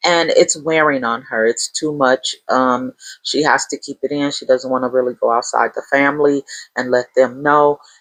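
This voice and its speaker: A woman's very deep, low voice at a moderate pace, fairly even intonation, dry, close sound with no echo. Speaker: book reviewer. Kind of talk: casual monologue book review. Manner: hesitant with fillers.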